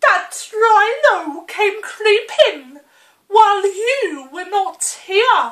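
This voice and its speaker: A woman's put-on character voice, extremely high in pitch and very slow in pace. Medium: read story.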